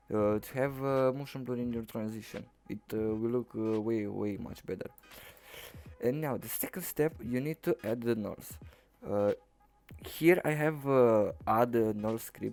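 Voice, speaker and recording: Over music in the background, a speaker with a Romanian accent talks at a fairly slow pace. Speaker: video editing tutorial maker. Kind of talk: tutorial. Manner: halting, many filler uhs.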